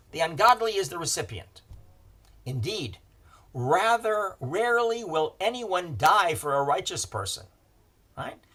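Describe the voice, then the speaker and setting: Male voice with a bright, sharp tone, vocal fry and very wide pitch swings at a moderate pace, on a very clean recording with a silent background. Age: 70s. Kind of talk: lecture.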